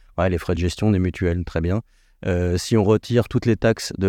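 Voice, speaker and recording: Recorded dry and close with no echo against a quiet background, a man speaks at a very deep, low pitch in a dark, mellow tone. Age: 50s. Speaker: director of a federation of mutual insurers. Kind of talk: interview. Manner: hesitant, many fillers.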